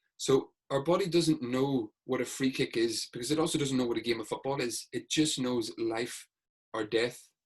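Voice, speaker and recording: A somewhat breathy man with a Northern Irish accent, medium in pitch, with ordinary pitch variation. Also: moderate pace. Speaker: sports hypnotherapist. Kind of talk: podcast interview.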